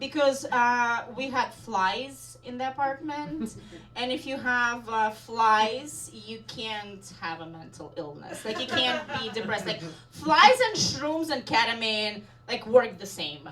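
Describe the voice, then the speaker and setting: A woman with an Eastern European accent, high-pitched and lively in intonation, at a very slow pace with big swings in loudness, over noticeable background noise. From Belarus. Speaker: stand-up comedian. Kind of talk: live stand-up comedy set.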